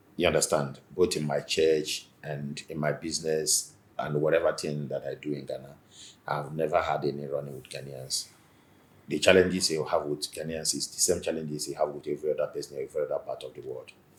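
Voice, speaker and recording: With a Nigerian accent, a man talks at a fairly quick pace. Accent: Nigerian Igbo English. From Nigeria, Igbo. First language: Igbo. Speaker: businessman and community association leader. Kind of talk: interview.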